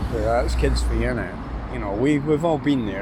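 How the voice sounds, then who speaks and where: With a very deep, low pitch and very wide pitch swings, a man speaks at a moderate pace amid noticeable background noise and audible room echo. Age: 50s. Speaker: vlogger, divorced father. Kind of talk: casual vlog monologue. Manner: hesitant, many fillers and repetitions.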